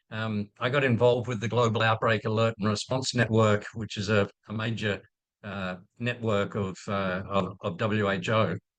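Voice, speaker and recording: A fairly low-pitched man with an Australian accent at a moderate pace, his intonation fairly even against a quiet background. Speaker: infectious disease physician and professor. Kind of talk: presentation. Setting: video call. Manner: halting, many fillers and repeats.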